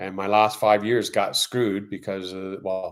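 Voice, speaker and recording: On a very clean recording with a silent background, a man with a Canadian accent and a plain, everyday voice speaks at a fairly slow pace and a fairly low pitch. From Canada. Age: 60s. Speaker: YouTuber and interior design contractor. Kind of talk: casual live stream chat. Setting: live stream.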